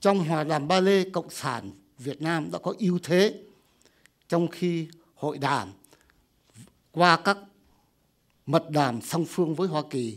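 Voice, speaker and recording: A man with a Vietnamese accent and a fairly high pitch speaks at a fairly slow pace, leaving long, frequent pauses. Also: ordinary pitch variation. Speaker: retired army officer, panelist. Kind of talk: formal conference presentation. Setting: conference room with audience. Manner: formal.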